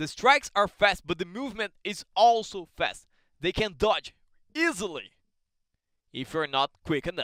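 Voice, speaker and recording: At a moderate pace, a man with a Brazilian Portuguese accent speaks in a high, bright, sharp voice with very wide pitch swings and long, frequent pauses, recorded with a dry, close sound and no echo. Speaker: combat sports commentator. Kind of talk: live commentary. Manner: animated.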